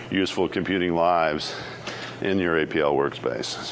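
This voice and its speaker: A man talks with an American accent. Audible room echo and noticeable background noise come through. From Canada. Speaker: keynote speaker, software engineer. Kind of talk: conference keynote talk. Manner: fast.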